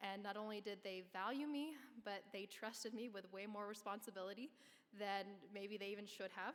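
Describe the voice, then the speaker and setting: Here a woman talks in a normal speaking voice. Her pitch is medium and her pace moderate. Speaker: award recipient, construction professional. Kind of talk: award acceptance speech. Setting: stage at live awards event.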